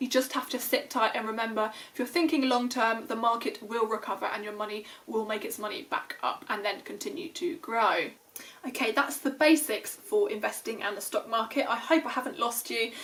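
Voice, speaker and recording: With noticeable background noise behind her, a woman speaks in a high voice with a British accent and lively intonation. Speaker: finance YouTuber. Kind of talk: tutorial. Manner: fast; casual with fillers.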